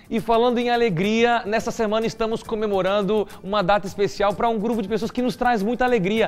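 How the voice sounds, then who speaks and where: A high-pitched man at a fairly quick pace, hardly any pauses, and very even loudness. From Curitiba, southern Brazil. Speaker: TV show host. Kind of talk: TV Bible study talk show. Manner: animated.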